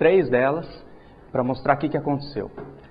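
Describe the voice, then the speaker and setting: At a fairly quick pace, a man speaks with ordinary pitch variation over light background noise. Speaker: presenter. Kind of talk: lecture. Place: hall. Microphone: lapel.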